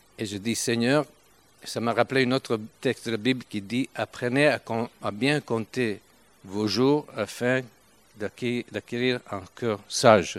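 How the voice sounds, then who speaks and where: A man with an Italian accent at medium pitch, very slow, with long, frequent pauses and fairly even intonation, in a dry, close sound with no echo. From Italy, Turin. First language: Italian (speaking French). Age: 70s. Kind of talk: sermon. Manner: halting.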